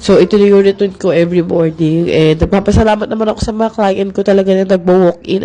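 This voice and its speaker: Noticeable background noise sits behind a woman speaking at a very fast pace. Her pitch is medium and her intonation fairly even. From Philippines. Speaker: makeup artist vlogger. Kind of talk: casual vlog.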